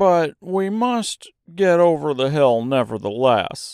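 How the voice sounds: A man puts on a character voice with a fairly high pitch, big pitch swings, vocal fry and a slow pace, his tone clear and smooth and slightly mellow, on a very clean recording with a silent background.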